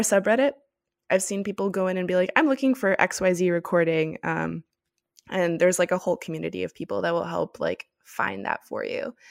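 A woman with a plain, everyday voice and an American accent speaks in a medium pitch with ordinary pitch variation, her dry, close sound with no echo captured in a very clean recording with a silent background. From US, Miami. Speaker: opera podcaster. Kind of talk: casual interview.

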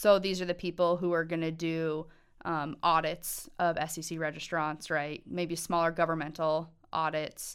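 In a very clean recording with a silent background, a woman speaks at a fairly low pitch. Her pace is fairly slow and her intonation monotone and flat. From Montana. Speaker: university accounting licensure advisor. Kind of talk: casual interview.

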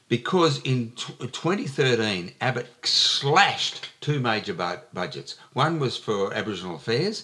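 Over noticeable background noise, a man at medium pitch speaks fairly slowly with very wide pitch swings. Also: hardly any pauses. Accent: Australian. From Western Australia. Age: 70s. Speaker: writer and comedian. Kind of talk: casual interview. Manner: witty storyteller.

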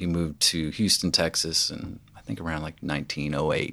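A man with a very deep, low pitch and fairly even intonation at a moderate pace, on a very clean recording with a silent background. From Tennessee, Franklin. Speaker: musician. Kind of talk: casual chat. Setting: studio.

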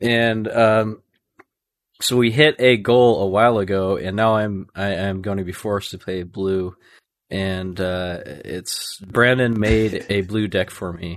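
A man speaks at a fairly slow pace in an ordinary speaking voice, fairly low in pitch with fairly even intonation. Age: 30s. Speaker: podcaster and Magic content creator. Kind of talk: casual chat.

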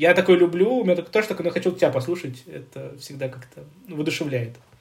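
A man with a fairly high pitch rattles along at a very fast pace. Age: 30s. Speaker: podcast co-host, hospice coordinator. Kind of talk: casual chat.

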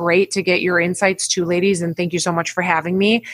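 This is a woman speaking. Her pitch is medium. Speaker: recruiter. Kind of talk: casual chat.

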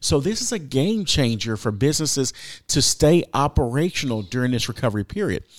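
Recorded very cleanly against a silent background, an unremarkable speaking voice moves at a fairly quick pace with lively intonation. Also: man. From Texas. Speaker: government public information officer. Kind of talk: radio interview.

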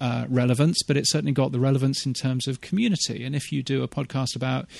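A man speaks at a fairly quick pace in a medium pitch, his intonation fairly even against a quiet background. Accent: British. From England, UK. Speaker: radio consultant and podcast newsletter writer. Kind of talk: casual interview chat. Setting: outdoors.

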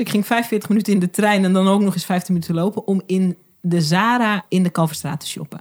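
A woman speaks fairly quickly, with hardly any pauses, in a somewhat breathy voice of medium pitch. The sound is dry and close with no echo. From Groningen, Netherlands. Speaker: video and visibility coach, documentary maker. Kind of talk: casual chat. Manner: animated, enthusiastic.

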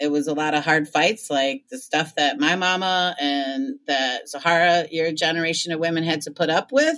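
Her fairly low pitch and lively intonation mark a woman with a plain, everyday voice, speaking at a moderate pace with hardly any pauses. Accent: American. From Michigan (Ann Arbor). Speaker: community organizer and magazine editor. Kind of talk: casual interview conversation.

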